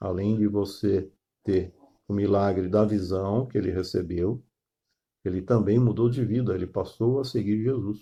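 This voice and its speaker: Pitched fairly low, a man speaks at a fairly slow pace with fairly even intonation. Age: 60s. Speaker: pastor. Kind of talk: sermon. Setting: online live stream. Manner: halting, many fillers.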